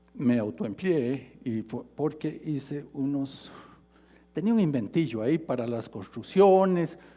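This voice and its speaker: A man's dark, mellow tone at a fairly slow pace, with very wide pitch swings. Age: 70s. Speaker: retiree and mature student. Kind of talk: TEDx talk.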